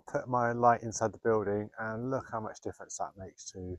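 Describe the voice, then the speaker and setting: Against a quiet background, a man talks at a fairly quick pace in a fairly low pitch, a normal speaking voice recorded with a dry, close sound with no echo. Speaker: photographer. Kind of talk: vlog narration. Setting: outdoors. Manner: casual.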